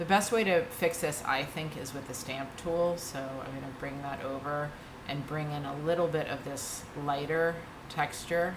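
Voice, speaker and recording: A woman's very deep, low pitch with fairly even intonation at a fairly slow pace, with audible room echo and noticeable background noise. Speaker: art tutorial instructor. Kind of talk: tutorial. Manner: casual, with fillers.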